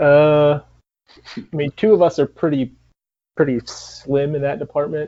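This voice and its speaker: A man in a Michigan accent talks at a fairly slow pace and fairly high pitch, with ordinary pitch variation and long, frequent pauses. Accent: Canadian-sounding Michigan. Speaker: punk rock band member. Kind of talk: interview. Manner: halting, many fillers.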